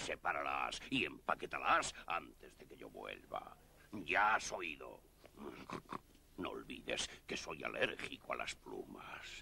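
A man's put-on character voice at a fairly slow pace, over clear background noise. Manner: bullying, capricious, mocking.

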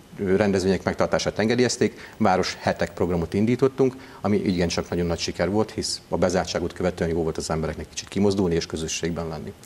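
A man's very deep, low voice at a very fast pace, with ordinary pitch variation. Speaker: town mayor. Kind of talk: interview answer. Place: studio. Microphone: lapel.

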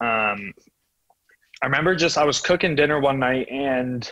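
Someone with a Canadian accent speaks with ordinary pitch variation, the sound dry with no echo and the background quiet. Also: man. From Toronto, Canada. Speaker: rugby sevens player; podcast guest. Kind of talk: interview. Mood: relaxed, chatty. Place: home room. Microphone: earbuds.

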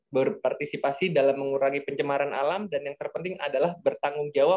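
A man speaks with a fairly high pitch and a somewhat breathy quality. The background is quiet. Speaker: discussion moderator. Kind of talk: moderated webinar. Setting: video call. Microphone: video call.

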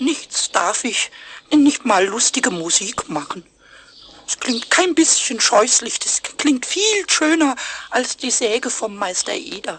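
A put-on character voice sits at a fairly high pitch and swings very widely in pitch. It moves at a fairly slow pace. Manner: cheeky, rhyming, stubborn.

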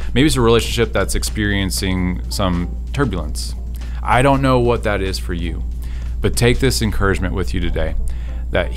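A man speaks at a moderate pace in a very deep, low voice with ordinary pitch variation, faint music playing in the background. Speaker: speaker. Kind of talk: devotional talk to camera. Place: studio. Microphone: studio mic.

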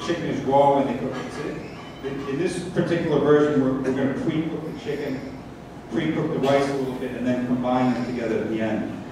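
The speech moves at a fairly quick pace, with noticeable background noise and strong room echo. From Sri Lanka. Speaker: cookbook author. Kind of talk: cooking demonstration. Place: stage.

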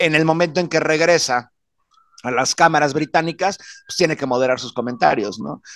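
A man's fairly high, plain, everyday voice at a moderate pace, with ordinary pitch variation and big swings in loudness, dry with no echo over a quiet background. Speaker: political commentator. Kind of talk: panel discussion. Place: home room. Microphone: studio mic.

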